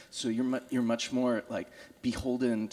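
A man's dark, mellow tone at a moderate pace. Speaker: artist; panelist. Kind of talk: panel discussion. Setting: stage with audience. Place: hall. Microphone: handheld.

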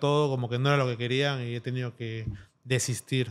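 The background stays quiet. Over it, a man talks rather quickly, his intonation fairly even. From Peru. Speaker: tattoo artist; guest. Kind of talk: interview. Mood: relaxed, reflective. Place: studio. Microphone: studio mic.

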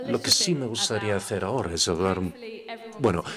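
Noticeable background noise fills the recording. The man's pitch varies in an ordinary way. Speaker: interpreter voicing the workshop leader. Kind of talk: interpreted workshop presentation. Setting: stage with audience.

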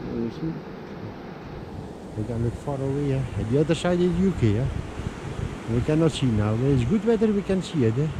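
A man at a fairly slow pace with lively intonation, over clear background noise

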